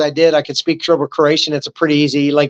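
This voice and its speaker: An American-accented man speaks in an animated tone. The background is quiet. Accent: Southern US redneck accent, crept back in. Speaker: army veteran. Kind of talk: interview conversation.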